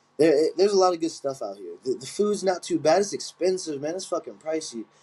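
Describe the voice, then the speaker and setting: A man with an American accent speaks at a high pitch in a dark, mellow tone. His loudness swings widely. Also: ordinary pitch variation, fairly quick pace. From Chester, Pennsylvania (Philadelphia area). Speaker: Muay Thai fighter and coach. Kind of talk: casual interview chat.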